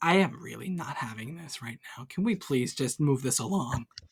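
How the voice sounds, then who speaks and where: A raspy, put-on character voice at a low-to-middle pitch and a moderate pace. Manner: annoyed, impatient.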